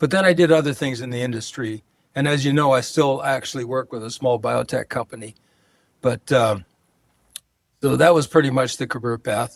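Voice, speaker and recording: In a Californian accent, the speaker goes at a fairly quick pace broken by long, frequent pauses, with ordinary pitch variation and a dry, close sound with no echo. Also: man, medium pitch for a man. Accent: Californian American. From Southern California (San Pedro, Los Angeles). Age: 80s+. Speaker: retired healthcare executive. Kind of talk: casual interview conversation.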